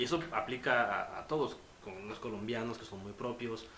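A man's medium-pitched voice at a fairly slow pace, with ordinary pitch variation and audible room echo. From Mexico. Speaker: communication and film student. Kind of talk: casual chat.

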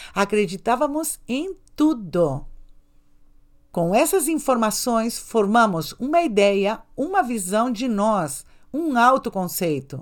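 Very wide pitch swings from a woman with a fairly high voice at a very slow pace, on a very clean recording with a silent background. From Brazil, São Paulo, Spanish-speaking family. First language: Spanish (speaking Portuguese). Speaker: podcast host, self-esteem coach and sexologist. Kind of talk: motivational monologue.

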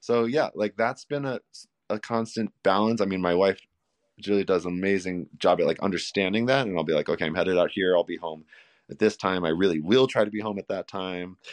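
At a fairly quick pace, a normal speaking voice with ordinary pitch variation comes through in a dry, close sound with no echo. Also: man, fairly low pitch for a man. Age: 40s. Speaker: masters marathon runner and father. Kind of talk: casual chat. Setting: phone call.

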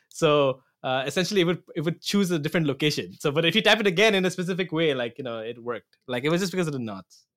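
A man talks at a very fast pace with hardly any pauses. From Assam, Northeast India. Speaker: software architect, podcast co-host. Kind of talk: casual chat.

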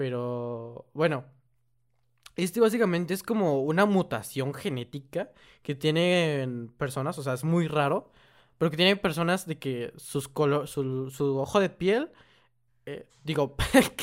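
On a very clean recording with a silent background, a man with an ordinary speaking voice and a fairly high pitch talks at a fairly slow pace with lively intonation. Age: 18. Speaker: podcast co-host and video creator. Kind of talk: casual chat.

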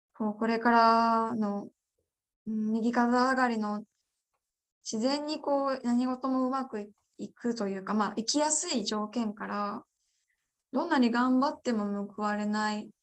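In a very clean recording with a silent background, a woman with a plain, everyday voice speaks at a fairly slow pace, with a fairly high pitch and fairly even intonation. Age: 20s. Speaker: parliamentary candidate. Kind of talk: interview.

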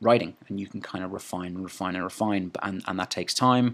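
Fairly low in pitch, a man speaks in a normal speaking voice with fairly even intonation. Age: 20s. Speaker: podcast host and movement coach. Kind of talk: solo monologue podcast. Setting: sitting alone talking. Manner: casual, frequent filler words and restarts.

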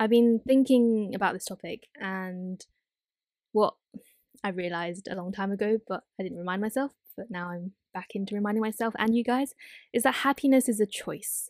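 In a very clean recording with a silent background and a dry, close sound with no echo, a woman with a fairly high pitch speaks at a moderate pace with ordinary pitch variation. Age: 20s. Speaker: podcast host; student. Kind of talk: casual solo monologue. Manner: rambling, hesitant with fillers.

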